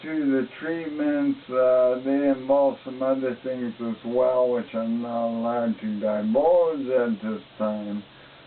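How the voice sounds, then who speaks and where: Amid noticeable background noise, a man speaks very slowly at a medium pitch with fairly even intonation. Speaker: ALS patient video diarist. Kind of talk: personal video diary. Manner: halting, many fillers.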